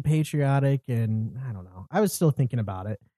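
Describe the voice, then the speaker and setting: A man with a fairly high pitch speaks in a dark, mellow tone with lively intonation. The sound is dry and close, with no echo. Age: 20s. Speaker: podcast host. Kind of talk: casual chat. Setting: home studio, in person.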